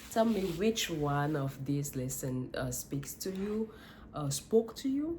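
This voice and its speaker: A woman's very deep, low voice, somewhat breathy, with a dark, mellow tone, a very slow pace, very wide pitch swings and a non-native accent. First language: not English. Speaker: life coach vlogger. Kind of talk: motivational monologue. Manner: halting, with self-corrections.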